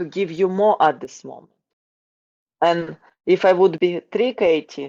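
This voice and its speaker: A woman with a Ukrainian accent speaks at a fairly slow pace in a fairly low pitch, her tone dark and mellow. The sound is dry and close with no echo, with big swings in loudness and ordinary pitch variation. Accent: non-native English, Ukrainian. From Ukraine. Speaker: wrestling coach. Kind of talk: interview. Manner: halting, repetitive.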